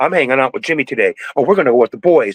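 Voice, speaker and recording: A man with an American accent speaks in an energetic tone at a fairly high pitch, with lively intonation and a dry, close sound with no echo. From USA. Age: 60s. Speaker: cannabis breeder and activist. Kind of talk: podcast interview. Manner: frequent hesitations.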